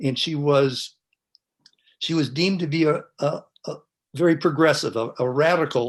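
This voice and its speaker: With a Californian accent, a man talks at a fairly high pitch. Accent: General American, Californian. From US West Coast, San Francisco Bay Area. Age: 70s. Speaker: panelist. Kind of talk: testimony. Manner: halting.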